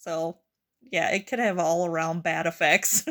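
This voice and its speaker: This woman's voice is loud, with a bright, sharp tone. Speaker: healthcare worker. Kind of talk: casual chat.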